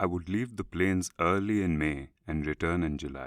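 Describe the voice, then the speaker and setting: A man with a very deep, low voice speaks at a moderate pace with ordinary pitch variation, recorded very cleanly against a silent background with a dry, close sound and no echo. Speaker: audiobook narrator. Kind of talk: audiobook reading.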